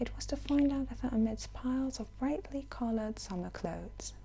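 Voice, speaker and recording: A soft-spoken woman talks with audible room echo. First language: not English. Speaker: ASMR audiobook reader. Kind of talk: reading aloud.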